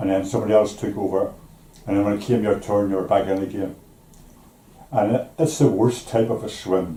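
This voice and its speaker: With a Belfast accent, a man speaks at a fairly quick pace in a dark, mellow, somewhat breathy tone, with ordinary pitch variation, long, frequent pauses and audible room echo. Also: fairly low pitch for a man. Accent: Belfast Northern Irish. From Northern Ireland, East Belfast. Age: 80s+. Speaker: retired shipyard worker. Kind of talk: interview. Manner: halting.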